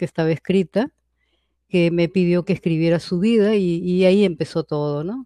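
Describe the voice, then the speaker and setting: A woman talks at a moderate pace in a fairly low pitch, her tone dark and mellow with ordinary pitch variation. The background is quiet. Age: 70s. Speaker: novelist. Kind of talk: interview. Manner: halting.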